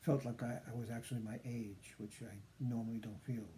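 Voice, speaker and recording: Dark and mellow in tone and somewhat breathy, the voice moves at a moderate pace with fairly even intonation. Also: man. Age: 70s. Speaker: patient sharing recovery story. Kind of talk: personal testimony vlog. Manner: halting, many fillers.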